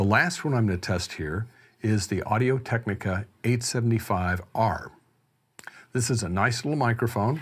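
A somewhat breathy male voice with ordinary pitch variation. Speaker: gear reviewer. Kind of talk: tutorial. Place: home room. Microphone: studio mic.

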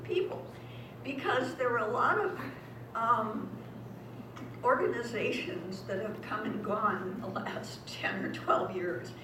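A woman talks fairly slowly, her voice carrying audible room echo with noticeable background noise behind it. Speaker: guest. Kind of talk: talk to audience. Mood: warm, appreciative. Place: hall. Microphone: camera far.

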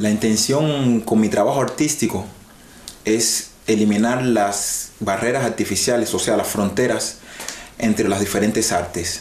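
Amid light background noise and audible room echo, a man speaks at a fairly slow pace and fairly low pitch with fairly even intonation. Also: very even loudness. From Cuba. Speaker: singer-songwriter and guitarist; guest. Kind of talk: interview. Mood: relaxed, smiling.

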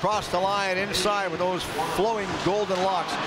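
A man's raised, projected voice, high in pitch and excited and animated, over noticeable background noise. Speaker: hockey play-by-play announcer. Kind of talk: live commentary. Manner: fast, excited play-by-play calling; animated, with punchy goal calls.

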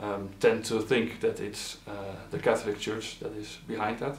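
Audible room echo surrounds a man's voice. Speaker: regional analyst for a nonprofit. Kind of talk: interview answer.

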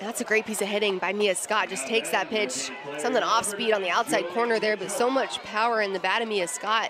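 Crowd noise sits in the background as a woman speaks at a fairly high pitch. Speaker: color commentator, softball analyst. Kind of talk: live sports commentary. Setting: broadcast booth at softball stadium.

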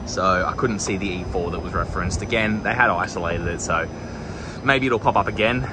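Against noticeable background noise, a man with a fairly low pitch talks at a fairly quick pace in a dry sound with no echo. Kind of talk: tutorial. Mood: relaxed, slightly amused. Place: open country. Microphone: phone near.

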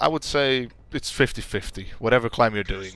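A man with a Dutch accent, dry sound with no echo. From Netherlands. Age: 20s. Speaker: gaming YouTuber. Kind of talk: casual Q&A. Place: home room.

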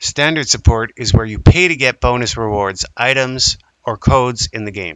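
A man speaks with a Canadian accent at a moderate pace. He has an ordinary speaking voice at medium pitch. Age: 30s. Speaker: indie game developer. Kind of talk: crowdfunding pitch to camera.

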